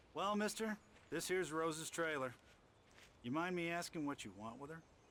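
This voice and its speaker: A man puts on a gruff character voice, fairly high in pitch, at a fairly quick pace. Background noise is clearly audible. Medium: video game. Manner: folksy, gruff, plainspoken.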